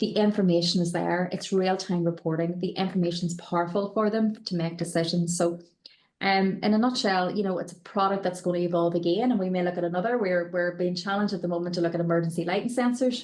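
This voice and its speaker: At a very fast pace, a woman with a Northern Irish accent speaks at a medium pitch with fairly even intonation. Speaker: company director, panel expert. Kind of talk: panel webinar discussion. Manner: hesitant, many fillers and repetitions.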